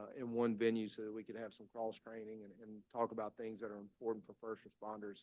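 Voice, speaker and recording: Here is a man with a Mississippi accent and a medium pitch. He talks at a very fast pace. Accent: Mississippi Southern US. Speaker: state public safety commissioner. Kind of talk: legislative committee testimony. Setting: committee hearing room with microphone. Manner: halting, many fillers.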